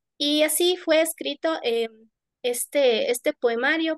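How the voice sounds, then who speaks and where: With an Ecuadorian accent, a woman talks at a fairly slow pace in a dry, close sound with no echo. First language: Kichwa (speaking Spanish). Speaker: poet. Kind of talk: panel discussion. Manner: halting.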